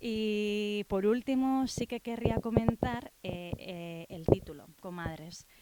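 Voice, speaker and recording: A woman with a Basque accent at a very slow pace, amid noticeable background noise. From Basque Country. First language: Basque (speaking Spanish). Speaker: writer. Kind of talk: book presentation talk. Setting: bookshop with audience. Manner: hesitant, many fillers.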